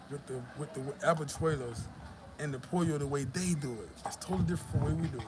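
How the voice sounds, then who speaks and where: A fairly high-pitched man with an American accent and ordinary pitch variation, with audible room echo and noticeable background noise. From US South, Georgia. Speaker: YouTuber. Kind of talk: live stream chat. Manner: casual, profane.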